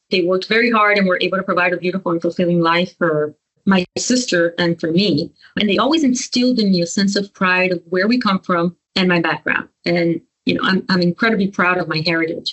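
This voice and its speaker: At a fairly quick pace, a woman with a medium pitch talks with a Spanish accent. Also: ordinary pitch variation, very even loudness. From US, Miami, Cuban family. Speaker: lawyer, law firm partner. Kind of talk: interview. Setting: podcast.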